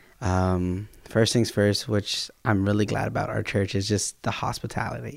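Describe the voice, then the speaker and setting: A man with an unremarkable speaking voice talks at a fairly low pitch and a moderate pace, with ordinary pitch variation and hardly any pauses, on a very clean recording with a silent background. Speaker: worship team singer. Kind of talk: casual chat.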